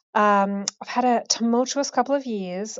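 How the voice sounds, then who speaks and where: This woman has an unremarkable speaking voice. She moves at a moderate pace with ordinary pitch variation. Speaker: caller going through chemo. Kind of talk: voicemail message. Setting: phone call.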